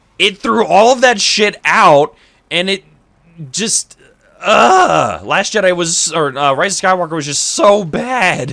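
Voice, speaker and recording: A man speaks in a raised, projected voice with a high pitch. His pace is very slow. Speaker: streamer and voice actor in training. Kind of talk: casual chat while gaming. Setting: livestream with voice chat. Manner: loud. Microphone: echo problem.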